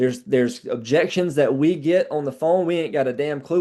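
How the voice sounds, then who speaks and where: Behind him the background is quiet. A man speaks at a fairly quick pace with ordinary pitch variation. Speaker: sales trainer. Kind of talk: training call. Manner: fast.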